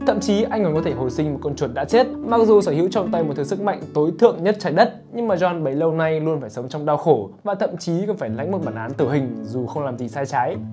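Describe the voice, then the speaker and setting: A man at a very fast pace with hardly any pauses, clear music in the background. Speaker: narrator. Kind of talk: comedic movie recap narration. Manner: casual, joking. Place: studio. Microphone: lapel.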